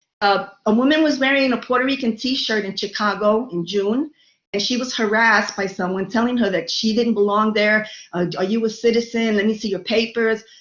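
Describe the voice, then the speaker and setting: A woman speaks fairly quickly in a New York accent. Her fairly high voice keeps fairly even intonation. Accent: New York Brooklyn. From New York City (Brooklyn). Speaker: lecturer. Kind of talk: lecture.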